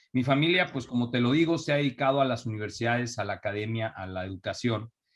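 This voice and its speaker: This man speaks with a Mexico City accent. His pitch is medium, with ordinary variation. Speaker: entrepreneur. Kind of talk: interview. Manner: halting, many fillers.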